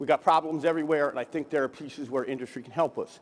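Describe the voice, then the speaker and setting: With an American accent, this voice moves at a very fast pace. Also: man. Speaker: defense department chief information officer. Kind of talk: keynote speech. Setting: conference stage with audience. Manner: conversational, informal.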